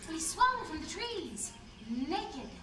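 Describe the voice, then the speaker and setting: A woman does a put-on character voice at an extremely high pitch, with an enthusiastic tone and a fairly slow pace. Loud background noise and a slight echo come through. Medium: stage play. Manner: enthusiastic, wordy.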